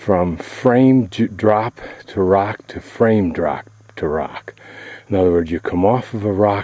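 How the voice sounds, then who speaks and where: With ordinary pitch variation, a man talks at a fairly slow pace in a very deep, low voice amid noticeable background noise. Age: 60s. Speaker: travel vlogger. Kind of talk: video narration. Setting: outdoors. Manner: casual.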